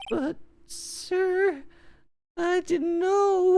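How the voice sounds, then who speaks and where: An extremely high, squeaky put-on character voice. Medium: game stream. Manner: stammering, says sir constantly; anxious, deferential.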